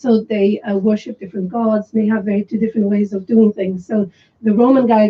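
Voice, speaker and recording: Her voice is fairly high and somewhat breathy as this woman talks at a fairly quick pace. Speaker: film director. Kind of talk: radio interview. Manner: stuttering when excited.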